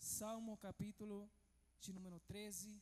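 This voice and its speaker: Pitched high, a man speaks at a fairly slow pace. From Venezuela. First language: Spanish (speaking Portuguese). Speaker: pastor. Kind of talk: sermon.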